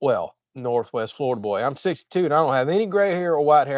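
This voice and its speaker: The speech comes at a very fast pace with ordinary pitch variation. The sound is dry and close, with no echo. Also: man. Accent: American. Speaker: homesteading YouTuber. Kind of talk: livestream chat reading comments. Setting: livestream. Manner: talkative.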